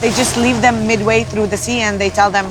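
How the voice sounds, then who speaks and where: Noticeable background noise sits behind a woman speaking with an Arabic accent. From Israel, Nazareth. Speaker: aid team leader. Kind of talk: interview testimony.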